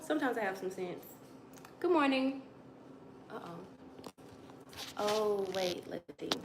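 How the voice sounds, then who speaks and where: Speaking at a fairly slow pace with long, frequent pauses, a woman's high voice swings very widely in pitch and greatly in loudness, with audible room echo and noticeable background noise. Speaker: livestreamer. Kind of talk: casual chat.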